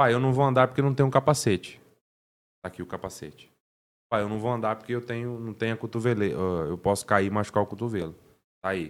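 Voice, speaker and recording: A man speaks at a very fast pace yet with long, frequent pauses. His medium-pitched voice has ordinary pitch variation. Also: very clean recording, silent background. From Paraná, Brazil (Cambé). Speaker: car detailer. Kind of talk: casual interview.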